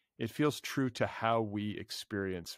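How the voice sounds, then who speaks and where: A man's fairly low voice in a Midwestern American accent, with a quiet background and dry sound with no echo. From US Midwest. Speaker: literary podcast host. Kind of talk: casual interview conversation. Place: home room. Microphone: studio mic.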